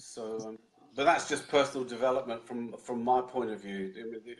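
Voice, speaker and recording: Here is a man talking. He speaks with a British accent. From London, England. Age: 60s. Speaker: Indian club swinging instructor. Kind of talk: interview answer.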